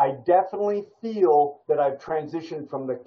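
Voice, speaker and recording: With an American accent, a man speaks in a plain, everyday voice that sits fairly high for a man, with ordinary pitch variation. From United States. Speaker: creative writing workshop instructor. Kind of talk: writing workshop lecture. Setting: video call.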